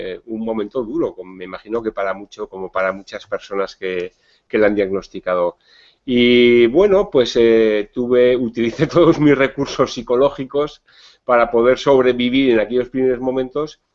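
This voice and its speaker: A man talks in a plain, everyday voice, pitched in the middle of his range, at a middling tempo with normal rises and falls. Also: big swings in loudness. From Spain, Navarre (Pamplona). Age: 50s. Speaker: psychologist and diabetes educator. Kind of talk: interview. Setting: video call.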